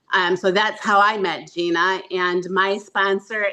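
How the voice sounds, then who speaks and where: Woman at medium pitch, fairly slow pace, bright and sharp in tone. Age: 60s. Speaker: network marketing associate. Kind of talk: testimony.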